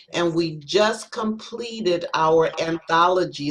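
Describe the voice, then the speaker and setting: Fairly low in pitch with ordinary variation, a woman speaks in a normal speaking voice. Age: 60s. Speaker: spoken word poet. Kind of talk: self-introduction on panel.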